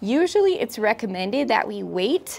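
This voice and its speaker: Speaking at a fairly slow pace, a woman delivers her words. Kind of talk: casual vlog chat. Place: garden. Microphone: lapel.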